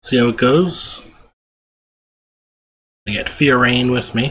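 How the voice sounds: A man talks at a slow pace. His tone is fairly bright.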